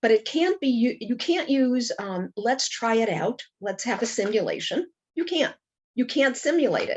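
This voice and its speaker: A woman with a Brooklyn accent, high-pitched, with lively intonation at a moderate pace. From Brooklyn, New York. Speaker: Holocaust educator. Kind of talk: interview.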